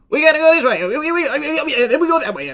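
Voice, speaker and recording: A man performs a put-on character voice at an extremely high pitch. He moves along at a fairly quick pace. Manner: excitable, chattering.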